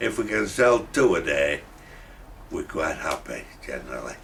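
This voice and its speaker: A man speaks with a Yorkshire accent. Noticeable background noise is present. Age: 70s. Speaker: furniture shop owner. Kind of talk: interview. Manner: halting.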